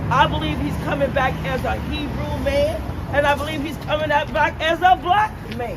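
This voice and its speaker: Over crowd noise and audible room echo, a woman with an American accent speaks in an animated tone at a moderate pace. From Chicago, US. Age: 60s. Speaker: street passerby. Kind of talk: street debate. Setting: outdoors.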